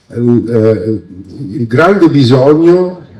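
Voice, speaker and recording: With a dark, mellow tone, this man's voice sits at a medium pitch. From Veneto, Treviso province (Motta di Livenza). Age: 60s. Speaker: local politician and candidate. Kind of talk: campaign speech. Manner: hesitant, many fillers.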